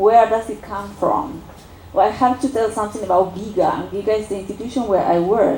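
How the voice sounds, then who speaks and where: Amid noticeable background noise, a woman with an Argentine accent talks at a medium pitch with ordinary pitch variation. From Argentina. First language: Spanish. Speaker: political science researcher. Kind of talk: academic seminar talk. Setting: university seminar with audience. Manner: halting, many fillers.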